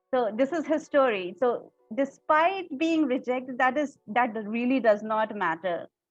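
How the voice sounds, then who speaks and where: Music plays in the background as a woman speaks at a fairly slow pace with hardly any pauses. Her pitch is high and her intonation lively. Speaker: podcast host, radio anchor. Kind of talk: podcast interview host.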